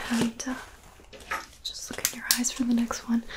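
A woman with a high-pitched voice speaks over noticeable background noise. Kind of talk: soft-spoken ASMR roleplay. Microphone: studio mic.

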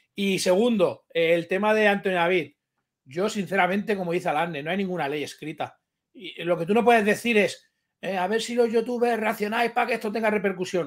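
Fairly quick speech in a man's high voice, the pitch varying in an ordinary way. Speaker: YouTube streamer. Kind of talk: casual chat. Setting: video call. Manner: crude, blunt.

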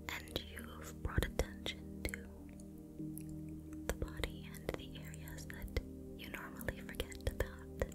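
The woman talks at a very slow pace with long, frequent pauses. Loud background noise runs behind her. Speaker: ASMR artist. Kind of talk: guided meditation for sleep. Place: home room. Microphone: studio mic.

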